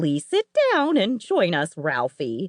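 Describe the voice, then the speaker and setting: Someone performs a put-on character voice at a middle pitch. The pace is fairly slow. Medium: read story. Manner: warm, teacherly.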